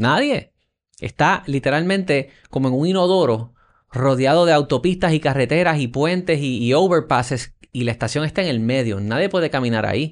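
A man speaks with a Puerto Rican accent at a fairly high pitch and a moderate pace. His pitch varies in an ordinary way against a quiet background. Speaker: podcast host. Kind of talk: interview conversation.

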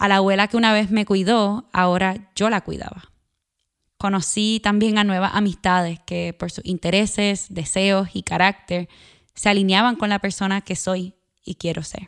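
A woman with a Puerto Rican accent speaks at a medium pitch and moderate pace in a monotone, flat intonation. The recording is very clean with a silent background, dry and close with no echo. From Puerto Rico. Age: 30s. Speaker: podcast host and journalist. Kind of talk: personal narration with guided body awareness. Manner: calm, reflective.

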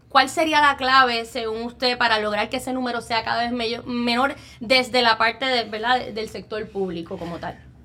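High-pitched woman's voice, raised and projected, at a fairly slow pace with ordinary pitch variation. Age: young. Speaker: podcast host. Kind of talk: interview.

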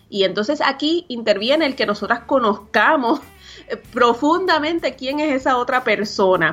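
Over background music, a woman speaks at a moderate pace. Her high-pitched voice has lively intonation. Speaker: podcast co-host, business coach. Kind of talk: casual talk show chat and advice segments.

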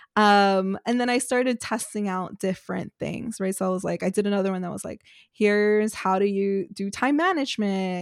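A woman with an American accent speaks at a medium pitch, recorded very cleanly against a silent background with a dry, close sound and no echo. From New York City. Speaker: business owner and content creator. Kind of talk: interview.

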